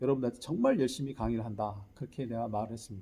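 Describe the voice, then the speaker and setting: This man's voice has a dark, mellow tone and is somewhat breathy. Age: 60s. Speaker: lecturer and teacher. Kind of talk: lecture.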